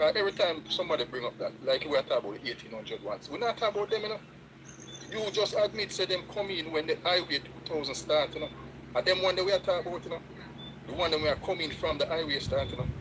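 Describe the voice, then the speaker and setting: A man speaks very fast in a Jamaican accent, his pitch high. Noticeable background noise runs under the recording. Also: ordinary pitch variation. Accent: Jamaican Patois-inflected English. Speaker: live stream participant. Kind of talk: heated debate. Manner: animated.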